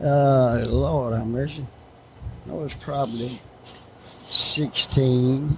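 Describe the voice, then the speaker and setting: Speaking very slowly with an American accent, a man leaves long, frequent pauses. Noticeable background noise is present. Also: medium pitch for a man, fairly even intonation. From Martinsville, Virginia. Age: 80s+. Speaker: retired speedway manager. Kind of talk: storytelling interview. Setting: front porch. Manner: terse.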